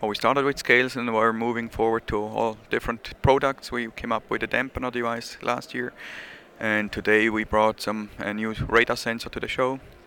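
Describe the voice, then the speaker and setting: A bright, sharp tone carries monotone, flat intonation in a Swiss accent. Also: man, medium pitch for a man. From Switzerland. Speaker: measuring equipment company representative. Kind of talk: casual interview. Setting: conference show floor.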